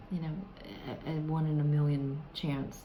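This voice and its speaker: Over noticeable background noise, a woman speaks with a very deep, low pitch. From US South. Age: older. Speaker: self-help vlogger. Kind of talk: tutorial. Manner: hesitant, many fillers. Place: home room. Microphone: phone near.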